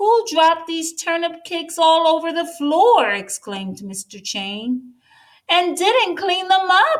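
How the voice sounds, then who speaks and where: A woman's put-on character voice at an extremely high pitch, fairly slow pace, very wide pitch swings and big swings in loudness. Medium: read story. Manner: loud, blustering.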